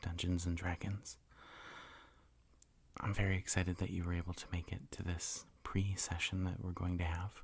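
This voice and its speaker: Whispering and soft-spoken, a man speaks in a somewhat breathy way at a moderate pace, leaving long, frequent pauses. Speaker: dungeon master / ASMR host. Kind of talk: ASMR roleplay, tabletop game character creation. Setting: studio, close mic with typing and page flipping. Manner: soft-spoken, whispering.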